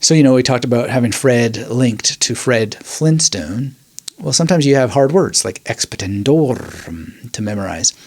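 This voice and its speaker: His intonation moves in a lively way as a man talks. Background noise is noticeable throughout. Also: medium pitch for a man, moderate pace. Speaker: memory training podcaster. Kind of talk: educational talk. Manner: conversational, with fillers.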